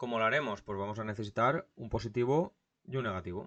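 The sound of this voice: A man speaks fast at a fairly low pitch. His tone is fairly bright, with ordinary pitch variation.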